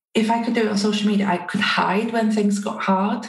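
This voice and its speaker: A woman speaks with a Welsh accent. Room echo is audible. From North Wales. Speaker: community strategist. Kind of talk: interview.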